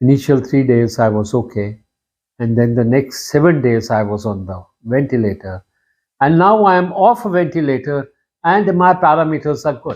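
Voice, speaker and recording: With a plain, everyday voice, a man speaks at a fairly high pitch. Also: moderate pace. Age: 60s. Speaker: surgeon. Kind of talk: personal testimony.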